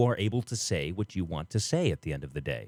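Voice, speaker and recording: A man with an ordinary speaking voice, fairly low pitch and a fairly quick pace, on a very clean recording with a silent background and a dry, close sound with no echo. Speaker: local talk show host. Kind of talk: casual talk show commentary.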